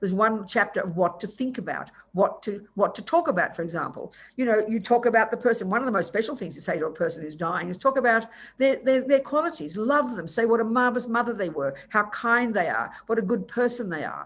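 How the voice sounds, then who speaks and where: A woman with an Australian accent talks at a very fast pace in a fairly high voice, her intonation lively and her loudness swinging widely. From Australia, Melbourne. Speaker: Buddhist nun and teacher. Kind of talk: dharma teaching. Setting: video call.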